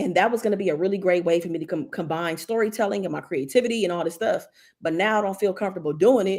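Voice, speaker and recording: A woman's fairly low voice, animated in tone, at a very fast pace with ordinary pitch variation, in a very clean recording with a silent background. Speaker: YouTube creator, live streamer. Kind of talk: casual livestream chat reading viewer comments. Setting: live stream.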